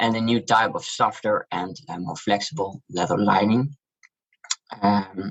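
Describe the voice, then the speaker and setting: Speaking with a Dutch accent, a man uses a fairly low pitch and ordinary pitch variation at a fairly slow pace. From Netherlands. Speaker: shoe brand founder. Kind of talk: interview.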